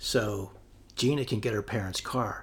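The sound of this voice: An unforced reading voice, its pitch variation ordinary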